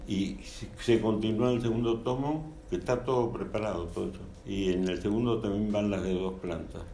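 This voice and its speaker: Over noticeable background noise, a man with a fairly low pitch talks at a moderate pace with ordinary pitch variation and hardly any pauses. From Argentina, Buenos Aires. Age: 80s+. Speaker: architect and author. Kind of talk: interview.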